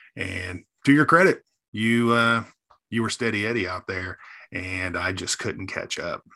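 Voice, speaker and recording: Recorded very cleanly against a silent background, a man's bright, sharp voice sits at a medium pitch with ordinary pitch variation. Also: fairly slow pace. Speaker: podcast co-host. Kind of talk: casual chat.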